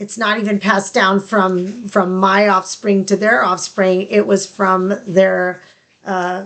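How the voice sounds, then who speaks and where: At a very slow pace, a woman talks in a medium pitch with monotone, flat intonation. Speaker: podcast co-host. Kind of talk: casual chat. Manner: fragmented.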